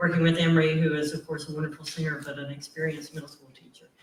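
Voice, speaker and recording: Against noticeable background noise, a man talks in a fairly high pitch. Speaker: college professor and singer. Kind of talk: panel discussion. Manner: loud.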